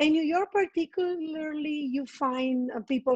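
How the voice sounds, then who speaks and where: A woman with a Colombian accent speaks at a fairly slow pace with ordinary pitch variation. The sound is dry and close, with no echo. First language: Spanish. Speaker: estate manager. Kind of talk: interview.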